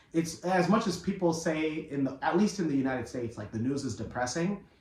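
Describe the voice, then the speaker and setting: Speaking at a fairly quick pace, a man's voice makes very wide pitch swings over noticeable background noise. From US (immigrant from East Africa, arrived before age five). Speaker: podcast co-host and news presenter. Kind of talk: casual chat.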